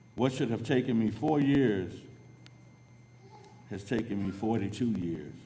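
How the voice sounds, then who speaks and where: With an American accent, a man talks at a fairly slow pace and a medium pitch, using ordinary pitch variation and long, frequent pauses, while audible room echo surrounds him. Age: 60s. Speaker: adult education graduate. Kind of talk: graduation speech.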